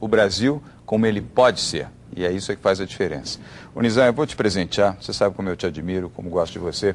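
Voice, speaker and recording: Speaking at a very fast pace, a man keeps a fairly low pitch with ordinary variation. Light background noise is present. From Brazil. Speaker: TV business show host. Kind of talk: TV interview. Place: studio. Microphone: lapel.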